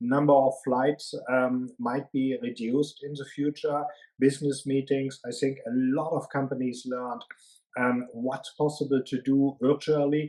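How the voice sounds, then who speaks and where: A man with a strong German accent, fairly high pitch, dark, mellow tone, monotone, flat intonation and a fairly slow pace. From Germany. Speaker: management consultant. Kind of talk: interview. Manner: hesitant, many fillers.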